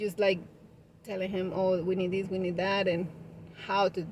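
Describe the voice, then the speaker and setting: With a strong Spanish accent, a woman speaks at a medium pitch in a monotone, flat way. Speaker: vlogger, party decoration business owner. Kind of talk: casual vlog talk. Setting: parked car.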